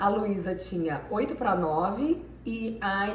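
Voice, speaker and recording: Amid noticeable background noise and audible room echo, a woman at a medium pitch talks at a very slow pace. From Brazil, Minas Gerais. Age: 40s. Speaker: PhD student. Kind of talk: interview. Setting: filmed by her husband.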